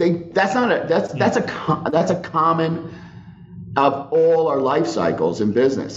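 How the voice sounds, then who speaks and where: Over audible room echo, a man talks at a fairly slow pace with lively intonation. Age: 50s. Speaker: company CEO and founder. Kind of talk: interview. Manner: halting.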